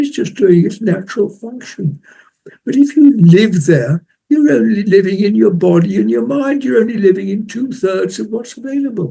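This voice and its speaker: A man's high-pitched voice with a dark, mellow tone, very wide pitch swings, and a moderate pace. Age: 80s+. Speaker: meditation teacher. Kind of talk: interview answer. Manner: quiet, soft-spoken.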